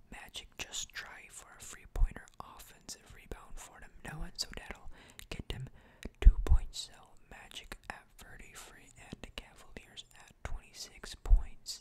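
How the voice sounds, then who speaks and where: Whispering at a fairly slow pace, the speaker draws the words out. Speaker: ASMR creator. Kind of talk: ASMR sports commentary. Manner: whispered.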